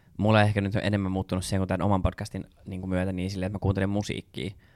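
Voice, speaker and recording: Fairly low in pitch, a man talks at a very fast pace. The recording is very clean and silent behind him, with a dry, close sound and no echo. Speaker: podcast co-host. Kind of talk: casual chat.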